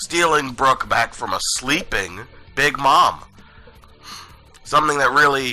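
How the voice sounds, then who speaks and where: A man with a fairly high voice speaks at a fairly slow pace with ordinary pitch variation and long, frequent pauses while music plays in the background. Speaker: anime and manga reviewer. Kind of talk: casual review commentary.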